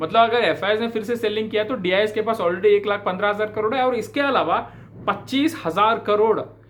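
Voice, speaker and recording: Pitched high, a man with a South Indian accent speaks at a moderate pace. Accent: non-native Hindi, South Indian. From South India, Bangalore. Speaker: stock market commentator. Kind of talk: market analysis talk to camera. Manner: hesitant with fillers, Hindi-English code-switching.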